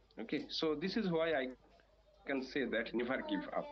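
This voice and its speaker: Fairly slow, lively speech from a man with a Bangladeshi accent. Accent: non-native, Bangladeshi. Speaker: English learner. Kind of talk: interview. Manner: halting, many fillers.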